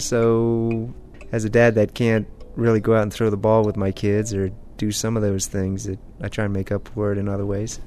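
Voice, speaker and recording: Music plays in the background. The speech goes at a moderate pace with monotone, flat intonation. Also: man, fairly low pitch for a man. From Maryland. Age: 40s. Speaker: father who uses a wheelchair. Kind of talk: personal interview.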